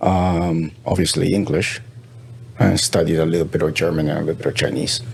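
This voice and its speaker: A man with a Spanish accent speaks at a fairly quick pace in a very deep, low voice, his loudness very even, with noticeable background noise. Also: ordinary pitch variation. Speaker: pharmaceutical industry professional. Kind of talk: interview conversation. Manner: halting.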